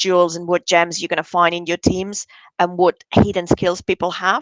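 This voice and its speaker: Monotone, flat delivery at a moderate pace, with a dry, close sound and no echo. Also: woman. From Spain, Barcelona. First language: Spanish. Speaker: bid management consultant. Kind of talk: interview.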